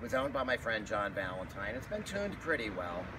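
Noticeable background noise behind a man speaking fairly fast. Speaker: motorcycle vlogger. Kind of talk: casual vlog chat. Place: street.

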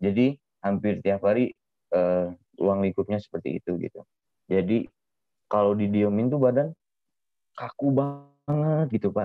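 A man with a fairly low pitch speaks at a fairly slow pace, using lively intonation and long, frequent pauses. The sound is dry with no echo, and the background is quiet. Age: 20s. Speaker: artist; guest. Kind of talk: interview. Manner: hesitant, many fillers. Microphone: video call.

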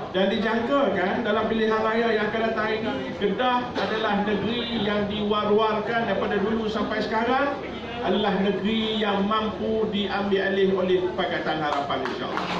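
A man talks with hardly any pauses. There's audible room echo and noticeable background noise. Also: moderate pace. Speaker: state party chairman. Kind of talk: political speech. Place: cafe. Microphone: camera far.

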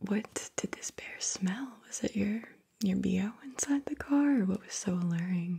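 A soft-spoken woman talks at a moderate pace. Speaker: session guide. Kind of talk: guided session narration, soft and calm. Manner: soft-spoken, hushed close-mic voice. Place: home room. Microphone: studio mic.

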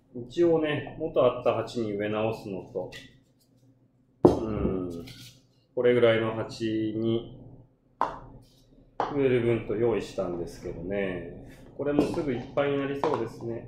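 A man with a medium pitch speaks at a fairly slow pace, with long, frequent pauses and big swings in loudness. His pitch varies in an ordinary way, and noticeable background noise runs underneath. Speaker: bar owner. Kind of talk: casual gardening livestream talk. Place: bar. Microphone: phone near.

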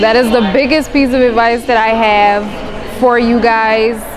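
There's noticeable background noise in this clip. Over it, a woman talks at a moderate speed. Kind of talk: interview answer. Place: hall. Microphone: lapel.

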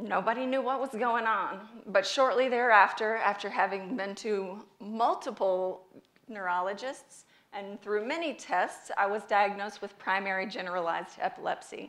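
This woman has an American accent. She talks at a moderate pace with ordinary pitch variation. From US South, North Carolina. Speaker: speaker, patient advocate; speaker. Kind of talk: public talk. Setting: stage with audience. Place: stage.

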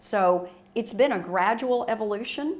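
The voice belongs to a woman. She talks at a fairly slow pace. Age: 60s. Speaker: printmaking artist. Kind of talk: tutorial. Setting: art studio. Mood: warm, enthusiastic. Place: studio.

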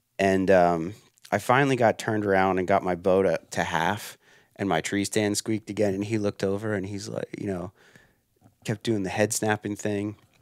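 Against a quiet background, the voice moves at a moderate pace in a monotone, flat intonation, with dry sound and no echo. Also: man, fairly low pitch for a man. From Pennsylvania. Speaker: hunter and outdoor writer; podcast guest. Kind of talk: casual interview. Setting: trade show podcast booth. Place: home room. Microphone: headset.

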